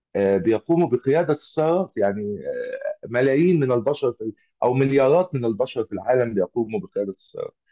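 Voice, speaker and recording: This voice moves at a fairly quick pace with lively intonation. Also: man. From Egypt. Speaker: automotive engineer and trainer. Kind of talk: online lecture. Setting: video call. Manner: halting, many filler sounds.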